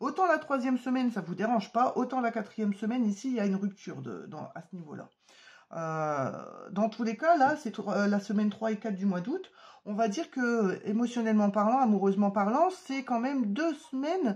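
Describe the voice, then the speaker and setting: Lively intonation runs through this somewhat breathy voice. The pace is moderate. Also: woman. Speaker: tarot card reader. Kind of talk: tarot reading to camera. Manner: hesitant with many fillers.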